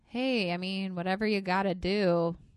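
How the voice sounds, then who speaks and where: This woman has an unremarkable speaking voice at medium pitch with fairly even intonation. The sound is dry and close with no echo. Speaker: podcast co-host. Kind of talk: casual banter between co-hosts. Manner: laughs often, playful.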